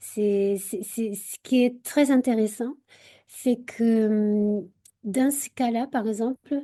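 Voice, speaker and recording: Speaking very slowly, a woman has a dark, mellow tone, fairly even intonation and big swings in loudness. The recording is dry and close with no echo and a quiet background. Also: fairly high pitch for a woman. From Portugal. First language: Portuguese (speaking French). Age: 40s. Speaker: university researcher. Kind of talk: radio interview. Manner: halting, many hesitations.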